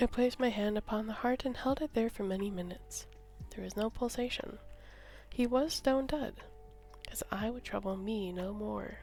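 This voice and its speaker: A fairly high-pitched woman at a moderate pace, with ordinary pitch variation. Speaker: ASMR story reader / streamer. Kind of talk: ASMR story reading of a horror tale.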